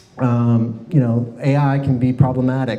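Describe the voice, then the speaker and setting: Over noticeable background noise and audible room echo, a man with an American accent and a medium pitch talks with fairly even intonation. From US South, Miami, Florida. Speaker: presenter. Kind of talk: presentation. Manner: fast.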